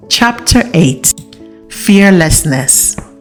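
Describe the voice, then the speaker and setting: Over music in the background, a woman with a fairly low pitch speaks with very wide pitch swings. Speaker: audiobook narrator. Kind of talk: audiobook reading.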